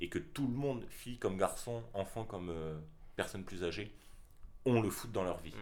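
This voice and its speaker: A man with a fairly low pitch and lively intonation speaks at a moderate pace, taking long, frequent pauses. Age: 20s. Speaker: graphic design student, podcast co-host. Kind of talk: casual chat.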